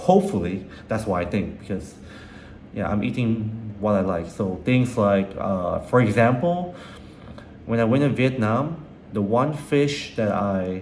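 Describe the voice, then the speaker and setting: A man speaks at a fairly slow pace in a medium pitch with lively intonation. There is audible room echo and noticeable background noise. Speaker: vlogger and restaurant owner. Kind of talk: personal video journal. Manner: halting, repetitive; casual.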